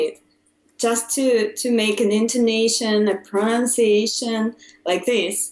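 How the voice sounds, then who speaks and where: A woman with a Russian accent speaks very slowly at a fairly high pitch. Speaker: English learner. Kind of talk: casual chat. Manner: halting, many fillers.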